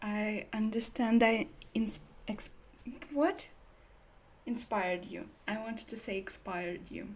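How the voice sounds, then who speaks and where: A woman with a Slavic accent speaks fairly slowly in a fairly high, somewhat breathy voice with ordinary pitch variation, big swings in loudness, and long, frequent pauses. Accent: own Slavic accent, was confused for German. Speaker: livestreamer. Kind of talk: casual livestream chat.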